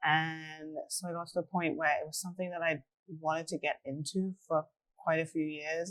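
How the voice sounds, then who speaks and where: With a dry, close sound and no echo, the speaking goes at a moderate pace. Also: woman. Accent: English. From England. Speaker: real estate agent. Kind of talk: casual interview.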